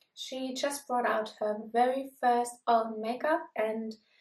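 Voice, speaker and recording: A woman speaks with a German accent at a high pitch. Her intonation stays fairly even. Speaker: beauty vlogger. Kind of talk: product review vlog.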